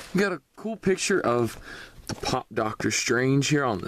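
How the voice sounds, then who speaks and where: Moderate pace in a Southern US accent. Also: man. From US South. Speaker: toy reviewer YouTuber. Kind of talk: product review. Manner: casual.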